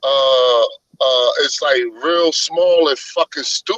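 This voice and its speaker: Recorded with a dry, close sound and no echo, a man speaks with a New York accent. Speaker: religious discussion panelist. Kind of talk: casual group discussion. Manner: animated.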